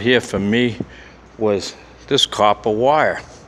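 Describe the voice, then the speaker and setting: A man speaks at a very slow pace with ordinary pitch variation, amid noticeable background noise. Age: 60s. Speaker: security guard and cleaner. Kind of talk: casual vlog narration while walking. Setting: inside an industrial building at night. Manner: conversational, rambling with repetitions.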